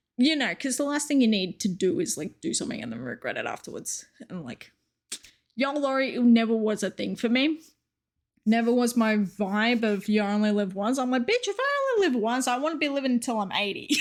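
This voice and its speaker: Spoken at a fairly quick pace with an Australian accent, the voice has an animated tone and lively intonation. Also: woman, high pitch for a woman. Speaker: streamer. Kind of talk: casual vlog monologue.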